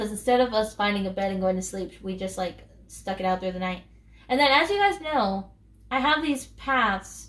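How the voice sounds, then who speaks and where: Amid noticeable background noise, a woman speaks at a medium pitch and moderate pace with lively intonation. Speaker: gaming YouTuber. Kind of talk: casual gameplay commentary. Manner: hesitant, many fillers.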